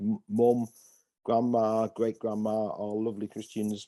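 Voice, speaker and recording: A man's dark, mellow tone at medium pitch and a moderate pace, over a quiet background. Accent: northeast English. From northeast England, Hartlepool. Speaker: pastor. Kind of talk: interview. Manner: halting.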